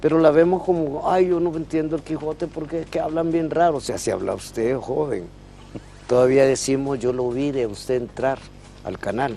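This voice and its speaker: A man speaks at a moderate pace with a Honduran accent. His pitch is fairly high. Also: ordinary pitch variation. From Honduras. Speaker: professor of language and literature. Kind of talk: interview.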